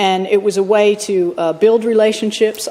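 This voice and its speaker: Fairly even intonation runs through a woman's speech, with noticeable background noise behind it. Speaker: state politician. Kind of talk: valedictory speech in parliament. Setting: parliament chamber. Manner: conversational, many fillers.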